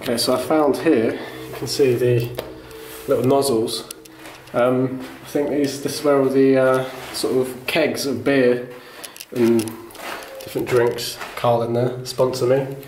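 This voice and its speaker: A man talks at a fairly slow pace with long, frequent pauses and monotone, flat intonation. Light background noise and audible room echo fill the recording. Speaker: urban explorer vlogger. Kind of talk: casual vlog chat. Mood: curious, hushed. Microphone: phone near.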